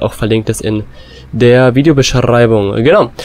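With noticeable background noise behind him, a man talks at medium pitch and a moderate pace, his intonation fairly even. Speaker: gaming YouTuber. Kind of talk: gameplay commentary. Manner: casual, filler-heavy.

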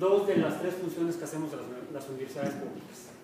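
Ordinary pitch variation amid strong room echo and noticeable background noise. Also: man. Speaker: university professor giving a talk. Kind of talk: lecture. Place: hall. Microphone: camera far.

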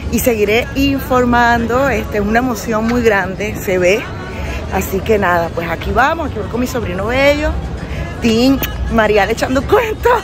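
With clear music in the background, a woman speaks at a moderate pace in a dry sound with no echo. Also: ordinary pitch variation. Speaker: amateur runner vlogger. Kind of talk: casual vlog chat. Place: street. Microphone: phone near.

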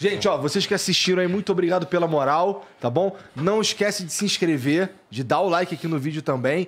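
This man talks at a fairly quick pace with hardly any pauses. His pitch is high, with ordinary variation. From Brazil. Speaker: podcast host. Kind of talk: casual chat. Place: studio. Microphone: studio mic.

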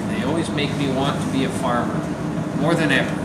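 Loud background noise surrounds a man speaking. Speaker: vlogger. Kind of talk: reading viewer mail aloud. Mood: relaxed, amused. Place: workshop.

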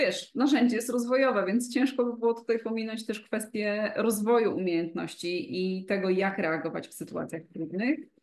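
A woman's speech has lively intonation and a medium tempo. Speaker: coach, podcast co-host. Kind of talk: interview answer. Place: home room. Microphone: video call.

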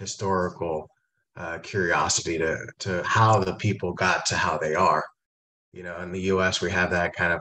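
A man with an American accent, very deep and low in pitch, bright and sharp in tone, with monotone, flat intonation. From Long Beach, California; California. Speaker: business school director; panelist. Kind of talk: panel discussion. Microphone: video call.

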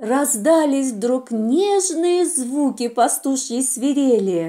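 Slowly, a woman speaks in a high pitch with a dark, mellow tone. Her intonation is lively.

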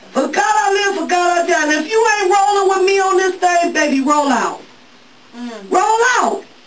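Light background noise accompanies a woman speaking at a moderate pace in an extremely high pitch. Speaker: pastor. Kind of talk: sermon. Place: church.

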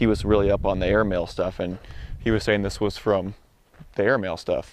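The sound is dry and has no echo. A man speaks very fast. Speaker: explorer vlogger. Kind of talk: casual vlog narration. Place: open country. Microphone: phone near.

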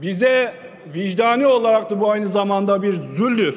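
Speaking at a fairly slow pace, a man uses a high pitch with ordinary pitch variation. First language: Kurdish (speaking Turkish). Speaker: member of parliament. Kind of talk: parliamentary speech. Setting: parliament chamber. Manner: formal. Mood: earnest, appealing. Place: hall. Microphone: podium.

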